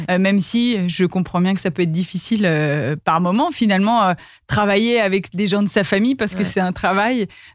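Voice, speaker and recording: In a very clean recording with a silent background, a woman with a medium pitch uses an unremarkable speaking voice at a moderate pace, with very even loudness and ordinary pitch variation. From Paris, France. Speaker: podcast host. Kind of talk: interview.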